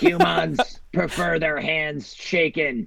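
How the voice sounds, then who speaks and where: Putting on a character voice, a man speaks at a very slow pace in a raspy, fairly high voice. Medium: actual play. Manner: confidently wrong, deadpan.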